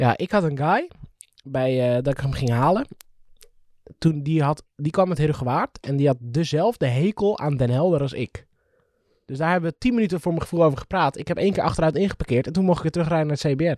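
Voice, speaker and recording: A man's animated, fairly high voice at a fairly quick pace, with ordinary pitch variation, dry and close with no echo, on a very clean recording with a silent background. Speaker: podcast co-host. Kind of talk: casual chat.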